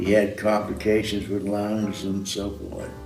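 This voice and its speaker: There is audible room echo around a man's voice. Music can be heard in the background. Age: 90s. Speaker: sculptor. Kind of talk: interview. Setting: studio.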